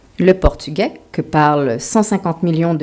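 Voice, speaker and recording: Speaking at a fairly slow pace, a woman has a dark, mellow tone, a fairly low pitch and ordinary pitch variation. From Quebec, Montreal. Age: 40s. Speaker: author. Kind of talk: lecture.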